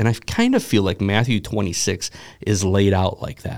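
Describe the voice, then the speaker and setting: This man has a normal speaking voice, with ordinary pitch variation and a moderate pace. The recording is very clean, with a silent background. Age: 40s. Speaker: pastor and podcast host. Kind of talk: casual chat. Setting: studio.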